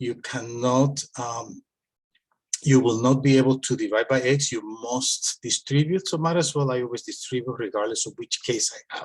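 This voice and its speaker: A man speaks with fairly even intonation at a moderate pace, sounding somewhat breathy. The background is quiet. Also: medium pitch for a man. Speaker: math teacher. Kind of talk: tutorial. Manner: hesitant with filler words.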